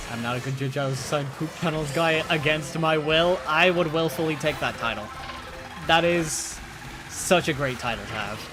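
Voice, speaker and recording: A man with a slight Irish accent talks at a moderate pace, his fairly high pitch showing ordinary variation. Music plays in the background and the room echo is audible. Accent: Irish, slight, comes out on some words. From Ireland. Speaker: streamer. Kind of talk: casual chat. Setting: live stream.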